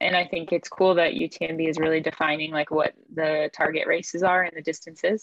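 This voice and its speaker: Delivery comes at a fairly quick tempo. Intonation remains fairly even. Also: woman. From US, Maine. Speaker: trail runner. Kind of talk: interview.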